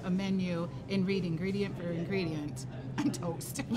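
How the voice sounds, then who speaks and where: A woman talks at a moderate pace while noticeable background noise carries on. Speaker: show host. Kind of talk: casual show chat. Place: shop.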